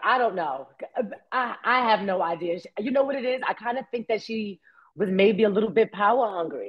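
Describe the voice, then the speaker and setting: With a Bronx accent, a woman talks in an animated tone at a moderate pace, her fairly high pitch swinging very widely. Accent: New York, Bronx. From New York, the Bronx. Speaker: actress. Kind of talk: interview.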